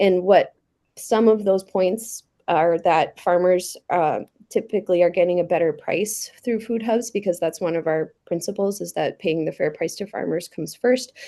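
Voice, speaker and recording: A woman speaks in a dark, mellow tone with ordinary pitch variation. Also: medium pitch for a woman, quiet background. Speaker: food hub representative. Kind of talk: committee testimony. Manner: fast.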